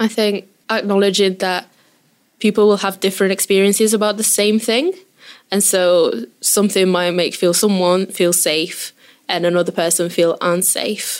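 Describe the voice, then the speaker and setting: Recorded very cleanly against a silent background, a woman speaks at a medium pitch and a moderate pace. She has an unremarkable speaking voice, with fairly even intonation and very even loudness. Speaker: community data project worker. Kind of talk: interview.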